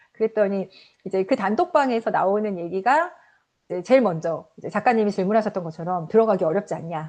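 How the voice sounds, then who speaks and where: A woman talks at a fairly quick pace with lively intonation and a medium pitch. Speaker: author. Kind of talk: interview. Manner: halting, many fillers.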